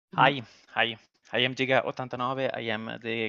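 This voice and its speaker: A man speaks in a flat monotone with vocal fry. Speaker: community tool creator. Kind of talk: community livestream Q&A. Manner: halting, many fillers.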